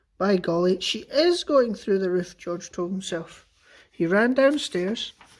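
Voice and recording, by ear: Someone is reading aloud in a natural voice, with lively intonation.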